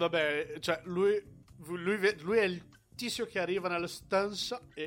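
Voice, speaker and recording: A man with a high voice talks at a fairly slow pace, using ordinary pitch variation. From Brazil. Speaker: podcast co-host discussing films. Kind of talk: casual chat.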